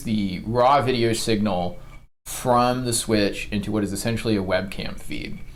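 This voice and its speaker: Audible room echo surrounds a man speaking at a fairly slow pace, medium pitch and ordinary pitch variation. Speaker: gaming youtuber. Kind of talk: tutorial. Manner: tends to get loud; many filler ums, halting. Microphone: cheap lapel microphone.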